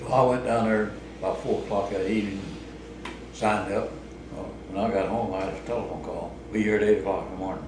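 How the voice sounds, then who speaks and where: With a rural Missouri accent, a man speaks at a fairly low pitch with fairly even intonation, amid noticeable background noise and audible room echo. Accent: rural Missouri American. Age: 80s+. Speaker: retired laborer. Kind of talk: oral history interview. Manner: halting.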